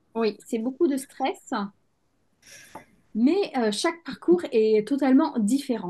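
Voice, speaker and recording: A woman's high voice, very slow and lively in intonation, with long, frequent pauses. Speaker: podcast host, endometriosis coach. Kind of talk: interview host talk.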